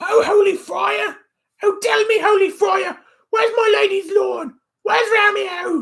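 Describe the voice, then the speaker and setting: Shouting in a put-on character voice, a man hits an extremely high pitch while keeping a moderate pace. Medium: read story. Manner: emotional, repetitive.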